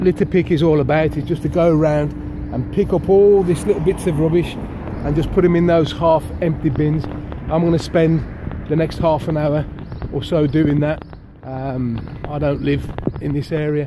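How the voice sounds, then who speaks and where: A man speaks with fairly even intonation and long, frequent pauses, the sound dry with no echo but with noticeable background noise. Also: moderate pace. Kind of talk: casual vlog chat. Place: street. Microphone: phone near.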